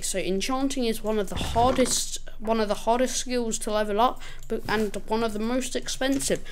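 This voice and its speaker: Over audible room echo, a fairly high-pitched woman speaks at a moderate pace with hardly any pauses, her pitch varying in an ordinary way. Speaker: gaming youtuber. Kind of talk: gameplay tutorial. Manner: casual.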